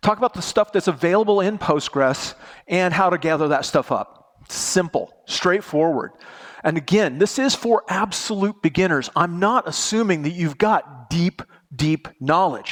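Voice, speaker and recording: The sound is dry and close with no echo, yet noticeable background noise sits behind a man speaking at a high pitch with ordinary pitch variation. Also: moderate pace. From United States. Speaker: conference speaker, database presenter. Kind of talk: technical conference talk. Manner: casual, joking.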